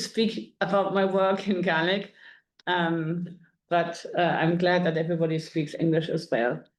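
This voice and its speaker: A woman with a German accent speaks at a moderate pace, her fairly low pitch carrying fairly even intonation. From Germany. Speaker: music curator. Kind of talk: lecture.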